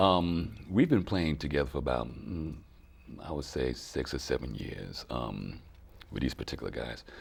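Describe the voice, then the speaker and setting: Using lively intonation at a moderate pace, a man speaks in a very deep, low pitch with vocal fry. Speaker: soul singer and bandleader. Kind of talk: interview.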